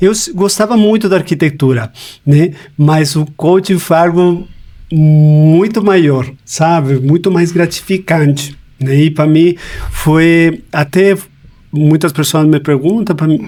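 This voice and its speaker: Speaking at a very slow pace in a Chilean accent, a man with a fairly high pitch keeps his loudness very even and his pitch variation ordinary. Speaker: life coach. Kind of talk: podcast interview.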